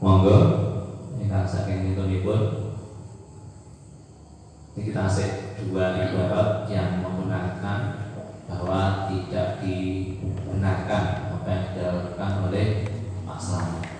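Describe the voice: A man's low, dark and mellow voice, slow and monotone with long, frequent pauses, in strong room echo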